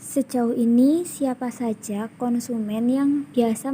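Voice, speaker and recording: A woman's dark, mellow voice, very slow in pace with fairly even intonation. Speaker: university student interviewer. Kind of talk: interview. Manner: formal.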